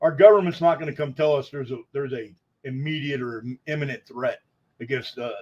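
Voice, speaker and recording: A man at a very fast pace, somewhat breathy, fairly high in pitch with ordinary pitch variation. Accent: American. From Texas. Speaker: security consultant livestream host. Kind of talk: live-streamed intelligence briefing. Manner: casual, unpolished.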